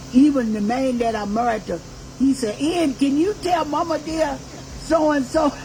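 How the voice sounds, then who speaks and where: An animated woman with an American accent, high-pitched, with ordinary pitch variation, a fairly slow pace, and noticeable background noise. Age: 80s+. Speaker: activist and reverend. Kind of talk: personal testimony to audience. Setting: birthday party with live audience. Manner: animated, emphatic.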